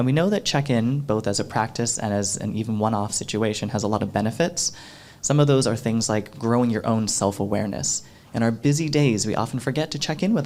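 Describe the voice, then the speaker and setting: An American-accented man uses an ordinary speaking voice at medium pitch, moving at a fairly quick pace with ordinary pitch variation. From US South, Florida. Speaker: workshop facilitator. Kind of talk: workshop presentation. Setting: stage with audience.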